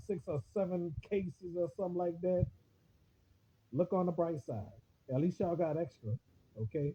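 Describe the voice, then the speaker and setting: High in pitch, a man speaks at a moderate pace with ordinary pitch variation. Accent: New Orleans. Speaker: online radio host / livestreamer. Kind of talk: casual monologue on a Facebook livestream. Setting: Facebook live video stream. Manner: halting, repetitive with many fillers.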